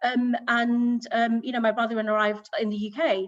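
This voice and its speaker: A woman with a fairly high pitch speaks in a British accent. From southern England, Hampshire. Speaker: business executive. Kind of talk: panel talk. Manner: hesitant, many fillers.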